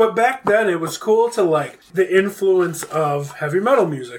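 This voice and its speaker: Loud and with lively intonation, a man speaks in an American accent. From Buffalo, New York. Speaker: guest. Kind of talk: casual chat.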